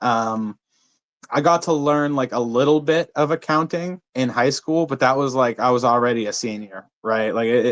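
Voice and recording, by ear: A man talks at a moderate pace in a medium pitch with a fairly bright tone. His pitch moves in an ordinary way.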